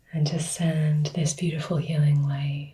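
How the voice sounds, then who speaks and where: A somewhat breathy woman with a dark, mellow tone, a very deep, low pitch and monotone, flat intonation. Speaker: Reiki teacher. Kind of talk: instructional tutorial. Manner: soft-spoken.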